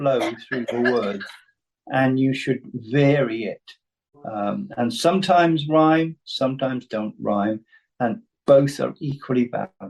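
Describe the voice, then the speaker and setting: A man with a Welsh accent at a fairly slow pace, with ordinary pitch variation. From Wales. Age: 70s. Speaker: playwright and poet. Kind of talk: talk with Q&A on writing. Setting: video call.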